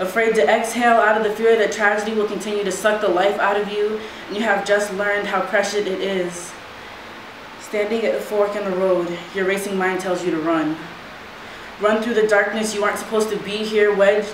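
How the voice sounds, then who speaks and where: A woman speaks in a flat monotone. Audible room echo and light background noise are present. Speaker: spoken word poet. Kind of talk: poetry performance. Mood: earnest, reflective. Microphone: camera far.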